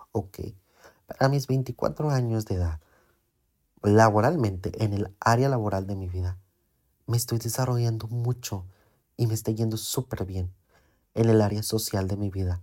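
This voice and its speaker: In a very clean recording with a silent background, a man with a fairly low pitch and dark, mellow tone speaks at a fairly slow pace with ordinary pitch variation and long, frequent pauses. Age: 20s. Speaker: podcast host, salesman with psychology degree. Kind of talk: personal monologue. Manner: slow, relaxed.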